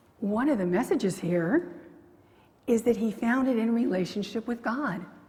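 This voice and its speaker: Lively intonation from a woman's fairly high voice at a moderate pace, over noticeable background noise. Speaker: pastor. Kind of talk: sermon. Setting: church.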